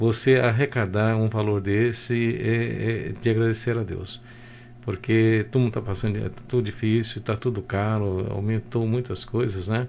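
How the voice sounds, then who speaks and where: A man talks at a fairly slow pace and medium pitch, with monotone, flat intonation. Light background noise can be heard. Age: 60s. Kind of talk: radio interview. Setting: radio studio. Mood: grateful, reflective. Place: office. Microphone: video call.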